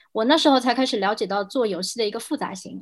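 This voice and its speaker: Against a quiet background, a woman talks at a very fast pace with a high pitch and ordinary pitch variation. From mainland China. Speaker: game industry product director. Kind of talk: casual panel discussion.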